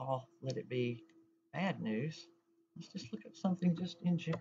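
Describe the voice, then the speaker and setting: This woman has a coastal North Carolina accent and a somewhat breathy voice. She talks at a moderate pace over light background noise. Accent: coastal North Carolina Southern. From North Carolina coast, Carteret County. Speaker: library assistant; library staff tutor. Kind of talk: tutorial. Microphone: webcam.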